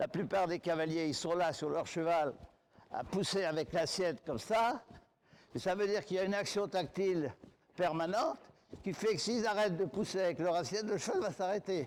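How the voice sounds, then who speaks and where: A man talks at a moderate pace with long, frequent pauses. His voice is high, with ordinary pitch variation. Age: 80s+. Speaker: riding instructor. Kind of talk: interview.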